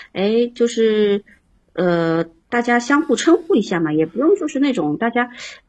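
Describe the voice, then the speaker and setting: At a moderate pace, a woman speaks with very wide swings in pitch. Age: 30s. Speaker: caller to advice livestream. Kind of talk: casual advice chat. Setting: live-stream call-in.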